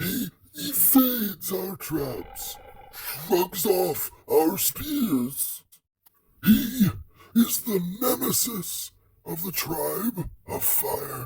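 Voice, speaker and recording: In a put-on character voice, a man speaks very slowly with a high pitch and very wide pitch swings. His tone is solemn, broken by long, frequent pauses. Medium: audio drama. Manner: solemn, broken simple speech.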